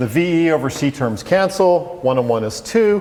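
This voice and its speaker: A man speaks at a fairly slow pace with lively intonation. Audible room echo and noticeable background noise surround him. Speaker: physics professor. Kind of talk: lecture.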